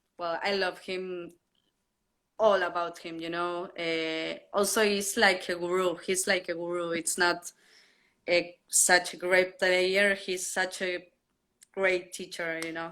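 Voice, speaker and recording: In a Spanish accent, a woman talks at a very slow pace with a fairly low pitch, a bright, sharp tone, monotone, flat intonation and big swings in loudness, on a very clean recording with a silent background. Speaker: drummer. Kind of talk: interview. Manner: halting.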